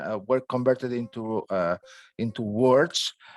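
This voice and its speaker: A man with a Catalan accent speaks at a fairly slow pace in a medium pitch with ordinary pitch variation, the sound dry and close with no echo in a very clean recording with a silent background. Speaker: dermatology professor. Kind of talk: lecture. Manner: halting, many fillers.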